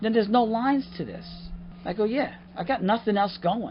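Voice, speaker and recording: His voice is somewhat breathy, and the man talks at a moderate pace. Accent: New York. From Long Island, New York. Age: 50s. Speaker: actor and comedian. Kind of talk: casual interview chat. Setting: outdoors on a dock by the water. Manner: animated.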